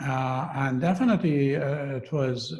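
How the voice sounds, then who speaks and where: A man talks with a somewhat breathy voice. His medium pitch shows ordinary variation. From western Iran, Kurdish. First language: Kurdish. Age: 60s. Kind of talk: personal testimony in a talk. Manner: halting, many fillers.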